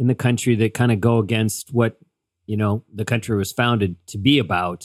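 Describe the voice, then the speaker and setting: This man has a plain, everyday voice and medium pitch, with an American accent. He speaks at a moderate pace. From US (Seattle). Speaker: podcast co-host. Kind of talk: casual chat. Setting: remote call.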